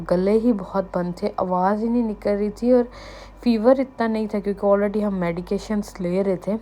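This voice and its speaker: This woman has a dark, mellow tone and fairly even intonation. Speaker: vlogger. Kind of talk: casual vlog narration.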